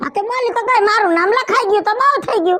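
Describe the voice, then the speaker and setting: In a squeaky, cartoonish character voice, a woman talks at a very fast pace with extremely high pitch and ordinary pitch variation. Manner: brash, scolding.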